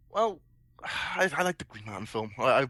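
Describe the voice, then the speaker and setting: With a bright, sharp tone, a man speaks at a fairly quick pace using ordinary pitch variation. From Wales. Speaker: panelist. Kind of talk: casual chat.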